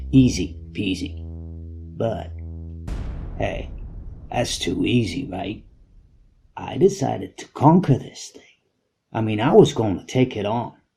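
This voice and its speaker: Music plays in the background as a man talks in a fairly low pitch, leaving long, frequent pauses. His pitch swings very widely and his loudness shifts a lot. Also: fairly slow pace. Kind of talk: personal anecdote storytelling. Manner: casual, conversational.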